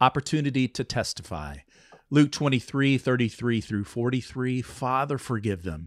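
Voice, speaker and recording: A man with a plain, everyday voice speaks at a moderate pace in a medium pitch with ordinary pitch variation. The recording is very clean with a silent background, and the sound is dry and close with no echo. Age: 50s. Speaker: podcast host. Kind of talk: interview chat; reading scripture aloud.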